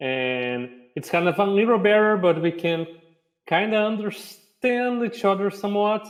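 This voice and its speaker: A man with a Brazilian accent, high in pitch, at a moderate pace and with lively intonation. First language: Portuguese. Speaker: game designer and publisher. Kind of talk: panel discussion.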